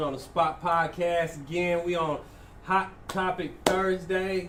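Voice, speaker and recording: A man talks at a very slow pace in a high voice with fairly even intonation. Audible room echo and noticeable background noise surround him. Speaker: podcast host. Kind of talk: casual chat.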